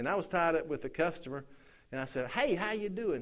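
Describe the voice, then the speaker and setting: With a Southern US accent, a man speaks at a fairly high pitch with lively intonation amid audible room echo. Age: 50s. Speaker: pastor. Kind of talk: sermon. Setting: church.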